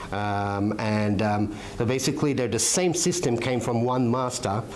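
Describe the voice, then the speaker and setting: With audible room echo and noticeable background noise, a man speaks at a moderate pace, his medium pitch showing ordinary variation. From Malta. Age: 50s. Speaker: martial arts instructor. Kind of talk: interview. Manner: hesitant, many fillers.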